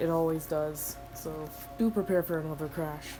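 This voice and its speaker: A woman's fairly low voice at a fairly slow pace, with music in the background. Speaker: gaming youtuber. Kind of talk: gameplay commentary. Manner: casual, thinking aloud.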